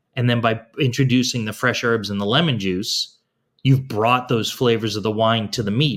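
A man's plain, everyday voice at medium pitch, fairly quick in pace, with ordinary pitch variation. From Boston, US. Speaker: food and wine educator. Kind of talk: interview, casual conversation.

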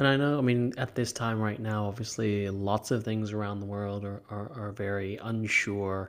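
On a very clean recording with a silent background, a man with an unremarkable speaking voice and an American accent talks at a moderate pace and fairly low pitch, with fairly even intonation and hardly any pauses. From California. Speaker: podcast host, meditation teacher. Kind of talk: interview; scripted narration.

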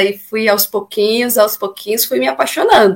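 A woman's voice at a medium pitch. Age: 30s. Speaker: singer and amateur runner. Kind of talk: casual interview. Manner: talkative.

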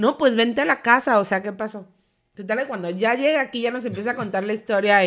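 Recorded very cleanly against a silent background, a woman speaks with a Mexican accent and ordinary pitch variation. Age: 30s. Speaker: podcast co-host. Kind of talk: casual chat.

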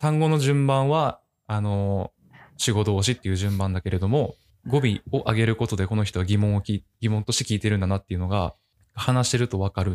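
An unremarkable speaking voice from a fairly low-pitched man, with very even loudness, ordinary pitch variation and a dry, close sound with no echo. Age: 20s. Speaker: office worker. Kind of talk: casual chat.

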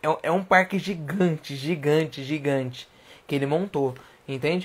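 The very clean recording, with its silent background, carries ordinary pitch variation. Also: man. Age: 20s. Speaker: livestream host. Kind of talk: casual livestream talk. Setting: at home. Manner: animated.

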